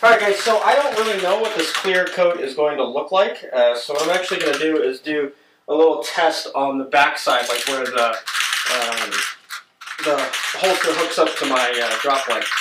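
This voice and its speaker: A man with a fairly high pitch and lively intonation is heard over noticeable background noise, with audible room echo. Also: moderate pace. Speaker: DIY video maker. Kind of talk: tutorial. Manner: hesitant with many fillers.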